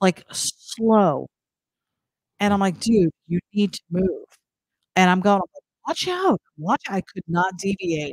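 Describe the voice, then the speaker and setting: With an American accent, the speaker goes at a very slow pace with long, frequent pauses and ordinary pitch variation, in a dry sound with no echo and a quiet background. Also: woman. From New Jersey. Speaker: live stream co-host. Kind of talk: casual chat. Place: home room. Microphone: echo on the stream; studio mic.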